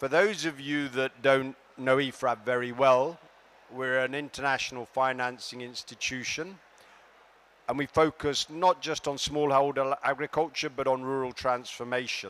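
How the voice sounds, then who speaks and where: This man has a medium-pitched voice. He talks at a moderate pace with fairly even intonation. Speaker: development finance official. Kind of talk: conference speech. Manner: projecting loudly.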